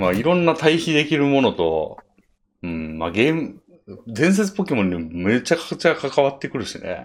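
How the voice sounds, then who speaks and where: Here a man with a fairly high pitch and very wide pitch swings talks at a moderate pace. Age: 30s. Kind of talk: casual chat.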